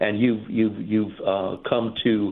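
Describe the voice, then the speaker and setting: A man speaks at a very slow pace in a medium pitch. His intonation stays fairly even. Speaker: caller. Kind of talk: casual chat. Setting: phone call. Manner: halting.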